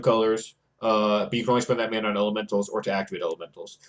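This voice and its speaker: Words pour out of a man at a very fast rate. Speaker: Magic card game content creator. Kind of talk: gameplay commentary tutorial.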